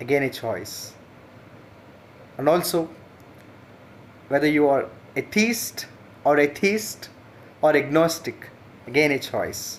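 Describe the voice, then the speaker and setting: A man with an Indian accent talks at a fairly high pitch with ordinary pitch variation. His pace is very slow, with long, frequent pauses. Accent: Indian English, Telugu. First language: Telugu. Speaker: teacher. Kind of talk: channel introduction monologue. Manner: hesitant with fillers.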